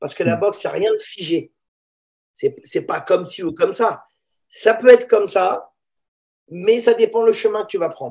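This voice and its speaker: Taking long, frequent pauses, a man speaks at a moderate pace with big swings in loudness. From Paris banlieue (La Courneuve), born in Israel. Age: 50s. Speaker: Thai boxing teacher. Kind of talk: casual interview.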